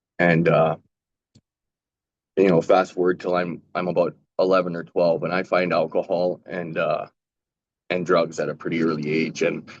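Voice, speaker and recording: At a moderate pace with long, frequent pauses, a speaker talks with a western Canadian accent. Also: man. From western Canada, Calgary. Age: 40s. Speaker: panelist with lived experience of drug use. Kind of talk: personal testimony.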